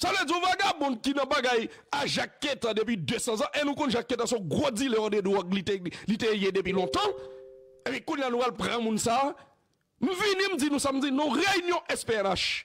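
Against a quiet background, a man with a Haitian accent speaks at a fairly slow pace in an extremely high pitch, his pitch swinging very widely while his loudness stays very even. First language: Haitian Creole (speaking French). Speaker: news show host. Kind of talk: political commentary. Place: studio. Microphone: studio mic.

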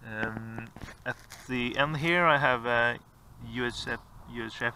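A man's bright, sharp voice with ordinary pitch variation, dry with no echo, over noticeable background noise. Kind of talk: tutorial. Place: open country. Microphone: phone near.

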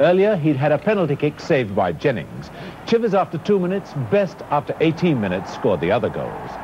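A man's fairly quick speech with very wide pitch swings, over light background noise. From Britain. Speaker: football commentator. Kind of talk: 1960s TV football match commentary, archive broadcast. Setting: archive TV broadcast with crowd noise. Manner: animated, brisk, excited play-by-play; formal, polished broadcaster sign-off. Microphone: old recording.

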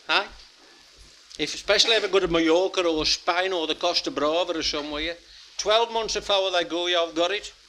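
This man's voice sits high in pitch, moving fairly quickly with ordinary variation in pitch. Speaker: comedian and dialect poet. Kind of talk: stand-up comedy to live audience. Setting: live audience, pub venue.

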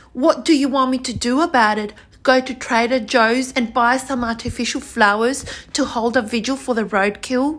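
Over noticeable background noise, a woman with a high pitch talks at a moderate pace with fairly even intonation. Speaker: video blogger. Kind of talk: angry rant. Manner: indignant, accusatory; forceful, opinionated.

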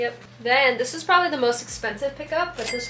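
A woman speaks at a fairly quick pace with ordinary pitch variation. Light background noise and audible room echo are present. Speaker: vlogger. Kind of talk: casual vlog chat. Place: home room. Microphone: camera far.

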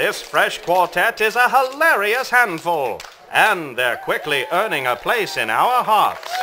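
Over noticeable background noise, a man speaks in a raised, projected voice at a high pitch. His pitch swings very widely as he goes at a fairly slow pace. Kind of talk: newsreel-style news report narration. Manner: polished, announcer-like delivery.

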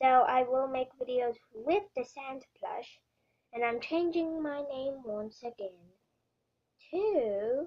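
A female-sounding cartoonish character voice, high in pitch. It moves at a very slow pace. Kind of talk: child's toy roleplay. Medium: puppet show. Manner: grandiose, enthusiastic, loud.

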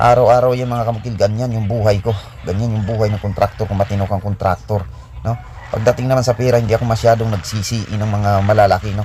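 A very fast pace with ordinary pitch variation, over noticeable background noise. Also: man. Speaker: construction contractor and vlogger. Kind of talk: casual vlog narration.

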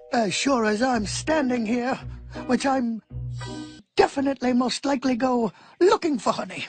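In a cartoonish character voice with fairly high pitch, the speaker moves at a moderate pace with long, frequent pauses while faint music plays in the background. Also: female-sounding voice. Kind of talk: character dialogue. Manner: slow, gentle, bemused.

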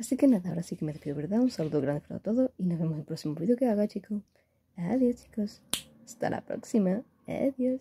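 A woman races along at a very fast pace at a medium pitch, somewhat breathy and dark, mellow in tone, with very wide pitch swings. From Spain. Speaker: gaming YouTuber. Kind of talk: unboxing video. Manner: animated. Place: home room. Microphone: phone near.

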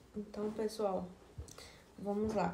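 A woman speaks with some audible echo from the room. Light background noise sits underneath. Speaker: fashion haul vlogger. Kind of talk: casual vlog chat. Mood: relaxed, friendly. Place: home room. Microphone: phone near.

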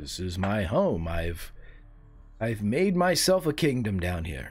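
A put-on character voice from a man, fairly low in pitch, at a very slow pace. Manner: polite, refined, slightly defensive.

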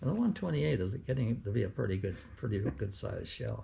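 A man speaks with a dark, mellow tone at a fairly low pitch. His voice is somewhat breathy. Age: 80s+. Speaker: war veteran. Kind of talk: interview answer. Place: home room. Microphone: camera far.

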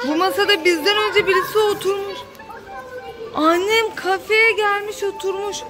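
Clear music plays in the background as a woman talks. Her pace is fairly slow, with ordinary pitch variation. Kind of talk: casual vlog chat. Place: shop. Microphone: phone near.

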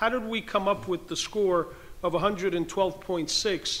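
A man with an American accent, high in pitch, with fairly even intonation. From New Jersey. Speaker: state legislator; witness. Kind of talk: legislative committee questioning. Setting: legislative committee hearing room. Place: hall. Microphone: podium.

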